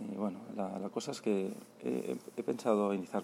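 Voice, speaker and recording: Speaking at a fairly slow pace, a man uses a fairly low pitch with ordinary pitch variation. His dark, mellow tone carries some vocal fry. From Spain, Barcelona. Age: 40s. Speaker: travel podcaster. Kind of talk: voice note diary. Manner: halting, many repetitions.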